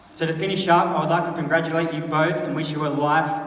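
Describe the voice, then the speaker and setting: A man speaks fairly quickly with an Australian accent at a fairly high pitch. Audible room echo and noticeable background noise surround him. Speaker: best man at a wedding. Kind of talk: wedding speech. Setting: wedding with audience.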